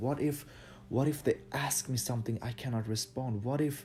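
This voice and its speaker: There is music in the background as a man speaks at a fairly slow pace. His pitch is medium, with ordinary pitch variation. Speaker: dance instructor. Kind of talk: motivational talk. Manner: halting.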